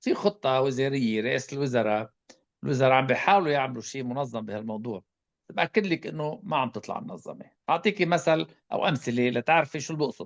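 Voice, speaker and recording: Lively intonation at a fairly quick pace with an Arabic accent, the sound dry and close with no echo against a quiet background. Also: man, medium pitch for a man. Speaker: public health expert. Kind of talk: panel discussion answer.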